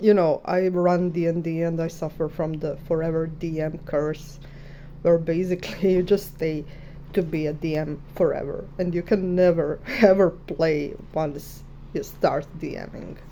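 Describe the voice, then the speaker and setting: A woman speaks with a Croatian accent and a fairly low pitch. Her intonation is monotone and flat. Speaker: artist. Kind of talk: casual chat. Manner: halting.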